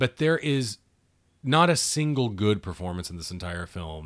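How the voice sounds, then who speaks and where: In a very clean recording with a silent background, a man with an American accent speaks in an ordinary speaking voice. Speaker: podcast co-host. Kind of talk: casual movie commentary.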